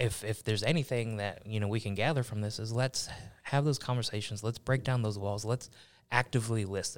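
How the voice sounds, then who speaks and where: A man with an American accent speaks at a moderate pace and medium pitch with ordinary pitch variation, on a very clean recording with a silent background. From Buffalo, New York. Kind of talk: interview.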